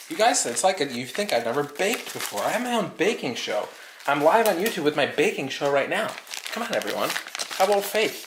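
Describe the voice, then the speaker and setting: Loud and at a very fast pace, a man talks at a high pitch with very wide pitch swings over noticeable background noise. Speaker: arcade channel host baking on livestream. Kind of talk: casual live-stream chat while baking. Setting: at home in kitchen, live stream.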